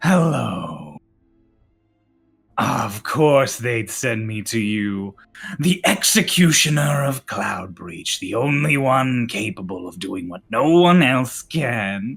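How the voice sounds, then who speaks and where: A man speaks in a put-on character voice that sounds raspy. His pace is very slow. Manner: strange, ethereal.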